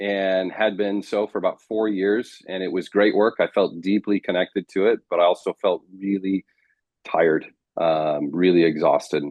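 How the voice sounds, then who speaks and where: A man with an American accent and a fairly low pitch talks at a fairly slow pace in a normal speaking voice. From United States. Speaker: marriage coach. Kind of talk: interview.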